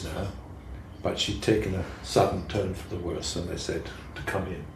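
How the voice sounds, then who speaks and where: Very deep, low male voice at a moderate pace, with audible room echo. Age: 70s. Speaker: poet. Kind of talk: casual chat.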